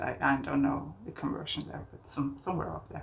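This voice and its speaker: A woman talks at a very fast pace in a Norwegian accent. The room echo is audible. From southern Norway. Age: 50s. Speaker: craft podcaster. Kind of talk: casual chat. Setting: outdoors on balcony. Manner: halting.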